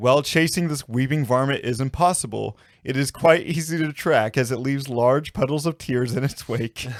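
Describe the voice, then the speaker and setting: With a fairly high pitch and a plain, everyday voice, a man speaks at a moderate pace with hardly any pauses. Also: ordinary pitch variation, very clean recording, silent background. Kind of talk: folklore podcast narration.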